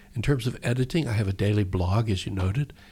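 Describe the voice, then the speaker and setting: A man's dark, mellow voice, somewhat breathy, fairly low in pitch, with ordinary pitch variation. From Texas. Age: 60s. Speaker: poet and novelist. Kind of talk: poetry reading and interview. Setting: radio studio.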